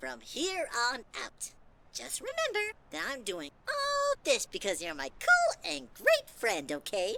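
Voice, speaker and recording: The pace here is fairly slow. The voice is a put-on character voice. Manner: crooning, falsely sweet.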